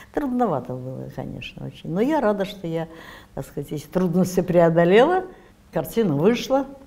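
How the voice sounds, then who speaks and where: This woman speaks at a moderate pace with a fairly low pitch, vocal fry and a dark, mellow tone. Her pitch swings very widely and her loudness rises and falls a great deal. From Saint Petersburg. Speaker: actress. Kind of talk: interview answer. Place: studio. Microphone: lapel.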